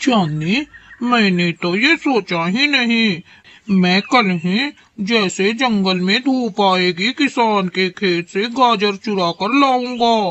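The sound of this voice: Delivered at a very slow pace, this cartoonish character voice sits at a fairly high pitch.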